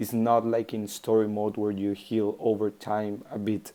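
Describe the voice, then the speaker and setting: A man speaks at a fairly slow pace with a non-native accent. His medium-pitched voice has a dark, mellow tone. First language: not English. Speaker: mobile game video creator. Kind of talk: tutorial. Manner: halting.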